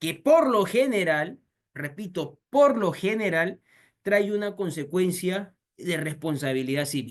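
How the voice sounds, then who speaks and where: At a fairly slow pace, a man talks in a high voice with an animated tone and lively intonation. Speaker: lawyer. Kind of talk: lecture.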